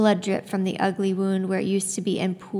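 The speaker is reading aloud in a natural voice. Nothing else is notable.

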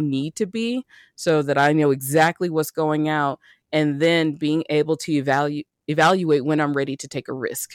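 In a very clean recording with a silent background and a dry, close sound with no echo, a man with an unremarkable speaking voice and an American accent talks at a moderate pace in a fairly high pitch. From US South, Birmingham, Alabama. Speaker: money coach and business owner. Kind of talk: casual chat.

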